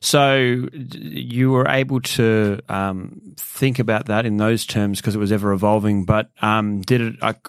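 With an Australian accent, a man talks at a fairly slow pace in a fairly low voice with ordinary pitch variation. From Sydney, Australia. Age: 30s. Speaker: podcast host. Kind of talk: interview.

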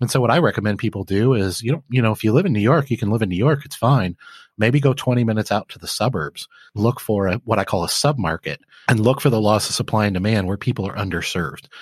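Very clean and silent in the background, the recording has a dry, close sound with no echo, as a man with a Midwestern American accent talks at a very fast pace with a fairly low pitch and ordinary pitch variation. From Flint, Michigan. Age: 40s. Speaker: laundromat business owner and author. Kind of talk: podcast interview.

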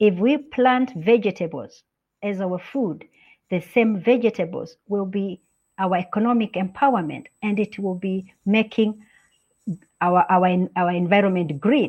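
A woman with a Kenyan accent speaks at a fairly slow pace in a medium pitch with ordinary pitch variation. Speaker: UN representative for a women's organization. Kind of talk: interview.

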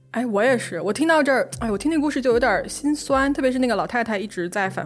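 A woman talking at a very fast pace over noticeable background noise. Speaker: podcast host. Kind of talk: true-crime narration. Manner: animated, conversational storytelling.

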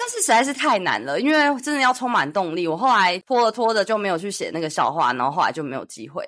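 Very fast and animated, a woman speaks with a Taiwanese accent at a fairly high pitch. Her pitch swings very widely. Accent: Taiwanese Mandarin. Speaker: podcast host. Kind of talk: casual chat.

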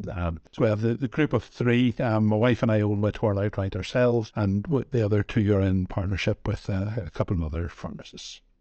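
A man talks at a fairly quick pace with a Northern Irish accent and hardly any pauses. His voice sits fairly low, with ordinary pitch variation. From Northern Ireland. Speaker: pharmacy owner. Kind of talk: interview conversation.

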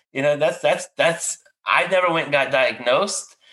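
A bright, sharp tone with lively intonation at a moderate pace, in a Louisiana accent. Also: man. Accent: Cajun Louisiana. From Louisiana, near New Orleans. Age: 40s. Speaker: podcast host, veteran therapist. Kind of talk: casual interview.

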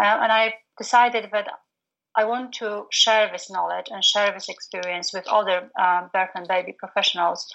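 Bright and sharp in tone, a woman speaks with a Polish accent and fairly even intonation. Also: medium pitch for a woman, moderate pace. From Poland. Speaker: postnatal doula and business coach. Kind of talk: casual interview chat. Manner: halting, frequent fillers.

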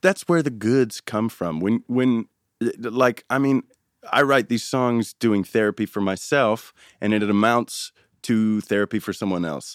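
Recorded very cleanly against a silent background with a dry, close sound and no echo, a man with an American accent and a plain, everyday voice speaks fairly slowly at a medium pitch with ordinary pitch variation. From US, San Francisco Bay Area. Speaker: musician. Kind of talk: interview.

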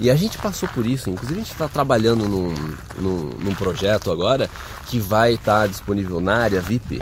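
Moderate-paced male speech with noticeable background noise behind it. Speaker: immigration advice video host. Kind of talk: casual Q&A video.

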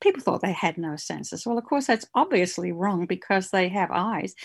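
With an Australian accent, the woman speaks at a medium pitch. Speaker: novelist. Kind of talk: casual interview.

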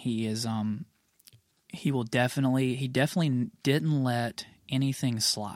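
A man with an American accent uses a plain, everyday voice, speaking at a medium pitch and moderate pace with ordinary pitch variation. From US South, Mississippi (near Tupelo). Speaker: rock band vocalist. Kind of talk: casual chat. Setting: studio.

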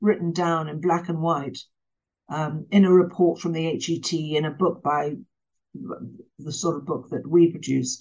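A woman speaks with an English accent in a fairly low pitch. Her pace is fairly slow against a quiet background. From England. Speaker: author and former journalist. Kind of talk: interview.

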